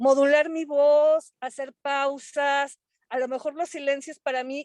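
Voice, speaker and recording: A woman speaks at a very slow pace in a high, monotone voice with flat intonation. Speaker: webinar host. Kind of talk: casual chat.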